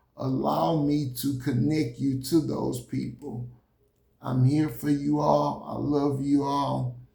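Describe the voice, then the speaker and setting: Audible room echo follows a man talking at a very slow pace. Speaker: motivational speaker. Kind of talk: motivational talk. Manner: halting.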